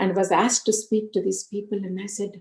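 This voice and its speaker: With an Indian accent, a woman speaks at a moderate pace in a somewhat breathy, dark, mellow tone at medium pitch. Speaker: spiritual speaker. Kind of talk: spiritual talk with personal testimony.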